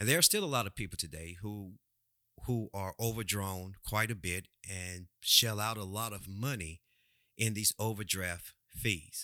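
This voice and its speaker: A man with a Louisiana accent, fairly low-pitched and fairly slow, bright and sharp in tone, with ordinary pitch variation, in a dry, close, echo-free sound on a very clean recording with a silent background. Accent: Southern US (Louisiana). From Louisiana, US South. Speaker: personal finance podcast host. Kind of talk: solo podcast monologue. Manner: halting, repeats words.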